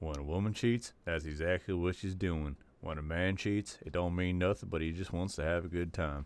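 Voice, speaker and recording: A man with a Southern US accent speaks at a moderate pace in a very deep, low pitch. His intonation is fairly even. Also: hardly any pauses, very clean recording, silent background. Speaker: podcast host. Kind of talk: video commentary.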